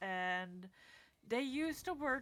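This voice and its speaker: A woman speaks very slowly with a non-native accent. Her tone is bright and sharp. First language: not English. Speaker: podcast host. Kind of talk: casual solo talk. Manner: rambling with fillers and false starts.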